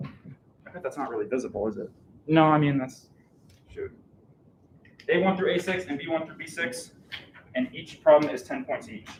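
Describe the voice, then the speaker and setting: A man speaks loudly at a fairly high pitch with very wide pitch swings and long, frequent pauses, over noticeable background noise. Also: moderate pace. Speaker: math educator. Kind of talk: lecture. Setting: classroom with live audience, streamed.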